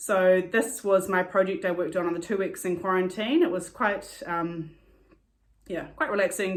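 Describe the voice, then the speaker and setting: A woman at medium pitch with a New Zealand accent. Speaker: cross-stitcher. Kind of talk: casual talk to camera. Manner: fast, with many fillers.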